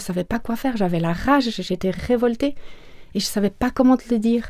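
A woman's fairly quick delivery, fairly high in pitch, with a dark, mellow tone. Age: 40s. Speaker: person living with HIV. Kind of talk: personal testimony interview.

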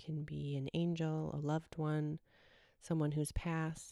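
A woman's very deep, low voice, dark and mellow, calm and gentle, in a flat monotone, on a very clean recording with a silent background. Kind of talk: guided meditation, soothing and spoken straight to the listener. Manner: slow, calm and gentle, with long pauses between phrases; soft-spoken, warm and reassuring.

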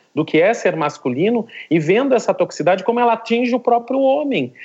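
A man with a southern Brazilian accent speaks with very wide pitch swings. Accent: gaúcho (southern Brazilian). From southern Brazil, Rio Grande do Sul. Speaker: philosophy professor. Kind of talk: discussion. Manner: halting, with frequent repetitions.

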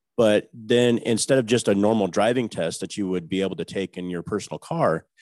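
A man with an unremarkable speaking voice, fairly low in pitch with ordinary variation, at a fairly quick pace, with a dry, close sound and no echo over a quiet background. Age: 40s. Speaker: truck driver. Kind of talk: casual interview.

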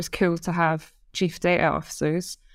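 A woman with a Scottish accent speaks at a fairly quick pace in a fairly low pitch and monotone, flat intonation, on a very clean recording with a silent background. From Scotland. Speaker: head of data science. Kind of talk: casual interview chat.

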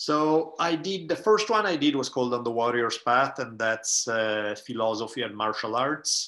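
The speaker's tone is bright and sharp, with lively intonation and a moderate pace. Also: man, medium pitch for a man, hardly any pauses, quiet background. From Italy. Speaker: writer, professor and podcaster. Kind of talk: casual interview conversation.

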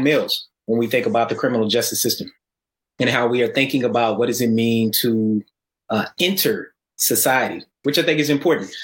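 A man with an American accent and an unremarkable speaking voice talks at a fairly quick pace and medium pitch, with ordinary pitch variation, on a very clean recording with a silent background. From Atlanta, US South. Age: 40s. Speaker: sociology professor. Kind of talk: panel discussion.

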